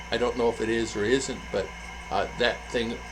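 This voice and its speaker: Here a man talks at a moderate pace. The recording carries audible room echo and noticeable background noise. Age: 60s. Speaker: vlogger. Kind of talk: casual vlog talk. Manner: halting, many fillers.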